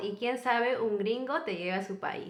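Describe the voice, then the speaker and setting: Lively in intonation, a woman with an unremarkable speaking voice talks at a moderate pace and a fairly high pitch. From Peru. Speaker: YouTuber, co-host of a couple's channel. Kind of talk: casual storytelling chat.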